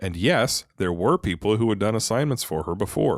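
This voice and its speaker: A man with a fairly low voice speaks at a moderate pace, his pitch swinging very widely, on a very clean recording with a silent background. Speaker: reddit story narrator. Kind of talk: podcast-style story reading.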